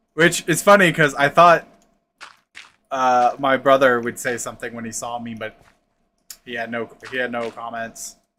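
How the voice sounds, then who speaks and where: A man with an American accent speaks at a moderate pace, using long, frequent pauses and big swings in loudness. His tone is bright and sharp, at a medium pitch with ordinary variation. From Texas, central. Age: 30s. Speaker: gaming livestreamer. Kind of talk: casual chat. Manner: halting.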